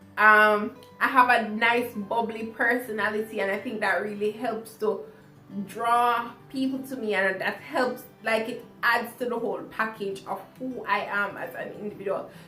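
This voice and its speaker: Music plays behind a woman speaking at a fairly high pitch. Her delivery is flat and monotone at a moderate pace. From Jamaica. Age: 20s. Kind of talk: casual talk to camera.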